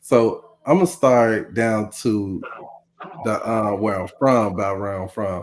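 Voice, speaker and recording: Speech comes at a very slow pace with a Southern US accent. The pitch variation is ordinary. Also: man, fairly low pitch for a man. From US South, Mississippi. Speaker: podcast co-host. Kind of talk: casual chat.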